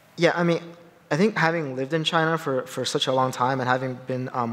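It's an unremarkable speaking voice from a man at a medium pitch. He speaks fairly quickly with ordinary pitch variation. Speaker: finance executive. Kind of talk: panel discussion. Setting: conference stage with audience. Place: stage. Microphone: headset.

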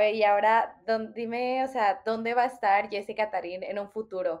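A woman speaks in a plain, everyday voice, pitched fairly high. Her intonation stays fairly even. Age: 20s. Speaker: podcast host. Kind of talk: interview conversation.

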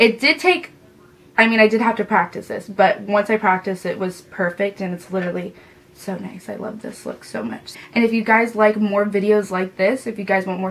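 With big swings in loudness, a woman talks at a fairly quick pace with ordinary pitch variation. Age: 20s. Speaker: makeup artist; beauty vlogger. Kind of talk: tutorial. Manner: casual, chatty. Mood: enthusiastic, pleased. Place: home room.

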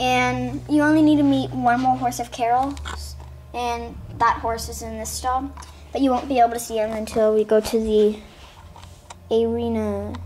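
At a moderate pace, a woman with a fairly high pitch and a slightly mellow tone speaks with little pitch movement.

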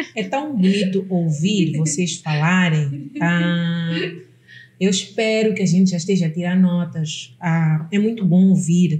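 Audible room echo surrounds a woman speaking at a fairly slow pace in a fairly low voice with ordinary pitch variation. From Mozambique. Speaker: podcast host. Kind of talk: casual interview chat. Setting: studio. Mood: warm, engaged. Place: studio.

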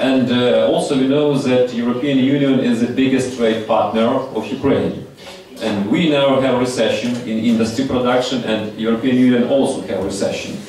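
Fairly even in intonation, a man is heard with audible room echo and light background noise. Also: moderate pace. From Ukraine. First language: Ukrainian or Russian. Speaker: audience member, industry consultant. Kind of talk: audience question. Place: hall.

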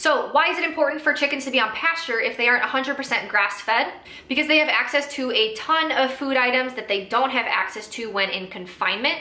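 A raised, projected voice moves at a fairly quick pace with hardly any pauses and ordinary pitch variation, with audible room echo. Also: woman. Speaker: small farm educator. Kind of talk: educational explainer to camera. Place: home room.

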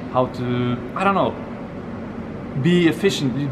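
A man speaks with a Norwegian accent over noticeable background noise. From Norway. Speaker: polyglot, conference attendee. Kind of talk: casual interview. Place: street. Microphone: phone near.

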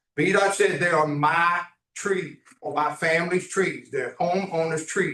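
A man talks loudly at a moderate pace. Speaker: property owner addressing council. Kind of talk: public comment at council meeting. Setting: town council meeting room.

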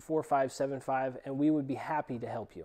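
Against a quiet background, the tone is dark and mellow. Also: man. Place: workshop. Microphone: lapel.

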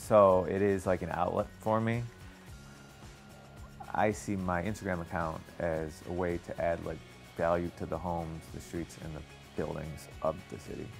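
Music plays in the background as a man talks with long, frequent pauses. His pitch is very deep and low. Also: moderate pace. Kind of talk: interview answer.

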